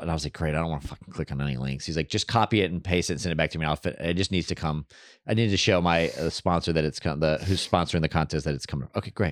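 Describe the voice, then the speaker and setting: In a very clean recording with a silent background and a dry, close sound with no echo, a man speaks in a very deep, low pitch with lively intonation and vocal fry. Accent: American. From Texas. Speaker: stand-up comedian. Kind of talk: casual chat.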